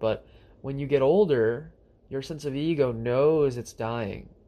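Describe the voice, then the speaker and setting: An ordinary speaking voice, a man talks at a moderate pace with a medium pitch and ordinary pitch variation. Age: 20s. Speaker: spiritual podcast host. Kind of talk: solo spiritual monologue.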